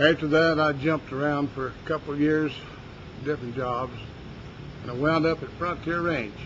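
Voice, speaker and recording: With an Appalachian accent, a man speaks at a fairly high pitch and a moderate pace with fairly even intonation. He leaves long, frequent pauses, and background noise is noticeable. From West Virginia. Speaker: ranch worker. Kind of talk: interview answer.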